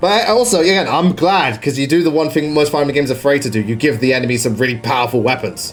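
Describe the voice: Music plays in the background as a man talks at a very fast pace with hardly any pauses. His fairly high voice has lively intonation.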